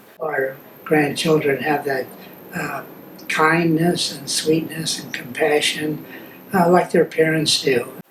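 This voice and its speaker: Against noticeable background noise, a man with an American accent speaks at a fairly slow pace in a fairly high pitch, with a monotone, flat intonation. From US West Coast, Los Angeles. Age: 80s+. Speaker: family elder interviewed for memoir video. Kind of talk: reminiscing interview. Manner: halting, many fillers and restarts.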